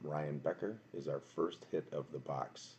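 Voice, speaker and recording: Quiet and with vocal fry, a man speaks at a very slow pace in a very deep, low voice. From Wisconsin, Milwaukee. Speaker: card box breaker streamer. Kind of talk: live stream card break commentary. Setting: home at night, live stream. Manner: quiet, subdued.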